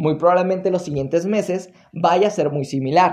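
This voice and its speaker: With ordinary variation in pitch, a man's voice stays high throughout. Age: 20s. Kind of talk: solo motivational monologue to camera.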